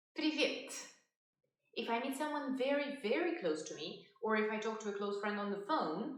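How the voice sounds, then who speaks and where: A woman speaks with audible echo from the room around her. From Russia. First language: Russian. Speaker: language teacher. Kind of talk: tutorial.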